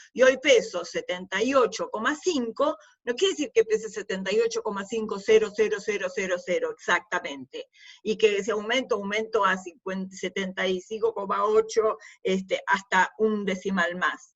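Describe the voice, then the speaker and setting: A woman speaks in a normal speaking voice, pitched fairly high. Her pace is moderate, with ordinary pitch variation. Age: 60s. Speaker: university lecturer. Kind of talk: lecture. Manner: conversational.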